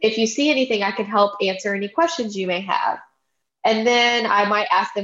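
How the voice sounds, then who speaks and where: Speaking with a Louisiana accent, a woman talks at a moderate pace and a fairly high pitch. Her pitch varies in an ordinary way against a quiet background. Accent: Southern US (Louisiana). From US South, Baton Rouge, Louisiana. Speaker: real estate agent, podcast co-host. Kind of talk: casual chat.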